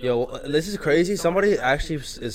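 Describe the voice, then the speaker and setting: Speaking in an American accent, a man moves at a fairly quick pace with lively intonation. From Manhattan, New York. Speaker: podcast co-host. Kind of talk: casual banter. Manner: laid-back, slangy.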